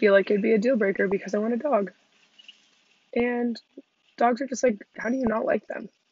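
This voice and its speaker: A woman with an American accent, fairly even intonation and long, frequent pauses. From Southern California (Redondo Beach). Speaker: podcast host and vanlifer. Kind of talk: solo self-interview monologue, casual. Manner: casual, filler-heavy speech.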